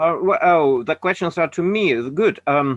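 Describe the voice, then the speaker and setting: Speaking with a Russian accent, a man uses a high voice and lively intonation. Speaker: anti-nuclear activist. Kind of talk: webinar talk. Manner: halting.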